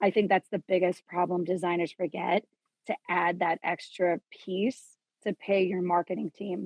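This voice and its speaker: A woman in an American accent uses a plain, everyday voice at a medium pitch and a fairly slow pace. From New York (Queens, Suffolk County), then New Mexico. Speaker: fashion designer. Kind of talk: podcast interview.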